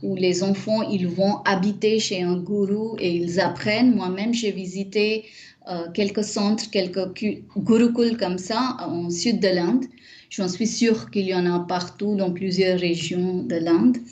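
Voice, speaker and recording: A woman talks very slowly, her medium-pitched voice rising and falling in an ordinary way. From India, Mumbai. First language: not French; Indian language (speaking French). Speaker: Sanskrit scholar and teacher. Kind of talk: interview. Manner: hesitant, many fillers.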